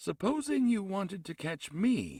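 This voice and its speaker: A man speaks at a moderate pace in a put-on character voice pitched high. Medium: read story. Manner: solemn, slow.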